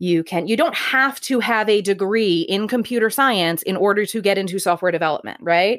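A woman speaks loudly at a moderate pace and a medium pitch. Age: 40s. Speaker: engineering director. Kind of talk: casual conversation interview. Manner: loud, outgoing.

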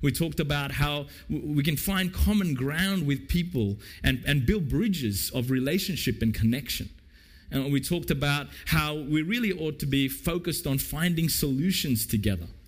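A man with an Australian accent talks at a moderate pace in a fairly high, somewhat breathy voice, using lively intonation and very even loudness, with audible room echo around him. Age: 50s. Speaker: pastor. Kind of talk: sermon. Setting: church.

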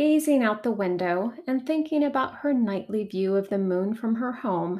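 Someone is reading aloud in a natural voice, the intonation lively throughout.

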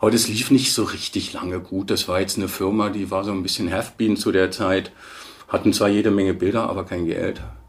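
Fairly quick speech with fairly even intonation over noticeable background noise. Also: man, fairly low pitch for a man. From Bavaria, Munich. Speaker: stock photo agency manager. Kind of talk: interview.

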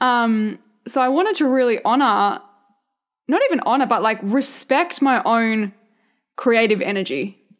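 In a rural Australian accent, the animated, upbeat voice holds very even loudness and ordinary pitch variation, with long, frequent pauses. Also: woman, high pitch for a woman, moderate pace. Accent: Australian, country. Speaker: podcast host, mindset and business coach. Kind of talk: solo podcast monologue, casual pep talk. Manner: animated, chatty, upbeat.

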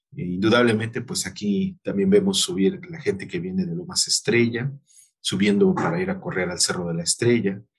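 A man talks fairly quickly at a medium pitch in a somewhat breathy voice with very wide pitch swings. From Mexico City, Iztapalapa. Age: 40s. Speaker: general surgeon. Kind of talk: interview.

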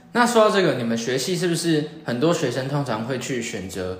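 Over noticeable background noise and audible room echo, a man at medium pitch talks at a moderate pace with very wide pitch swings. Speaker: podcast host. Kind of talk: interview.

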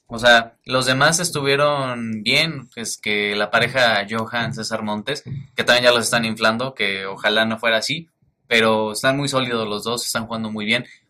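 A man speaks with a Mexican accent in a bright, sharp tone. His intonation stays fairly even. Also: medium pitch for a man, moderate pace. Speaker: football podcast host. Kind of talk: casual chat.

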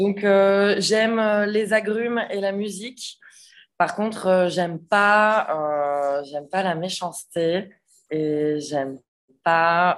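A woman with a medium pitch and ordinary pitch variation speaks at a very slow pace over a quiet background. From western France (Nantes, Vendée). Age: 30s. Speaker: chef and restaurant owner. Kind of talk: casual interview chat.

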